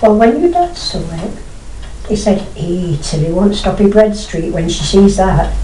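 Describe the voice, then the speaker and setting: Fairly slow speech from a woman with a fairly low pitch, amid noticeable background noise. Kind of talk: interview answer.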